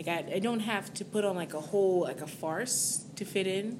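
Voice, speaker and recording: A woman with an American accent in a room with audible echo. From Southern California. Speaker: singer. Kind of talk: interview. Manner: halting.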